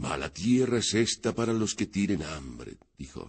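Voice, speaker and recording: A man's put-on character voice, rumbling and fairly low, at a moderate pace. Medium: read story. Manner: grumbling.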